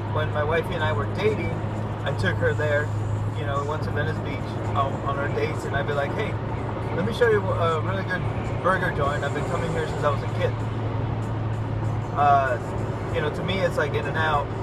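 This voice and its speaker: Fairly quick speech, dry with no echo, under loud background noise. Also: man. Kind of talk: casual vlog chat. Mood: nostalgic, relaxed. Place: car. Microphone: phone near.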